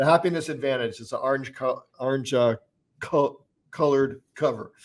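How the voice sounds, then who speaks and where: Speaking at a moderate pace, a man has an unremarkable speaking voice, fairly high in pitch. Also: fairly even intonation. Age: 60s. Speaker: lawyer and entrepreneur. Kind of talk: casual chat.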